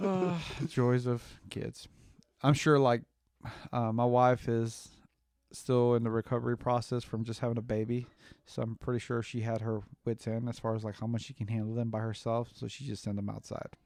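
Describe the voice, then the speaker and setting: With long, frequent pauses, a man talks at a moderate pace in a medium pitch and fairly even intonation. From Mexican-born, grew up in the US. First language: Spanish. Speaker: podcast co-host, father. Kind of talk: casual chat. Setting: home recording, backyard with chickens.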